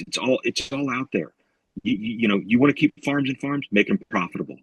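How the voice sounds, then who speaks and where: In an American accent, a man speaks at a moderate pace and medium pitch, with a dry, close sound and no echo. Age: 40s. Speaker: farmer. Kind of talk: interview. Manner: animated.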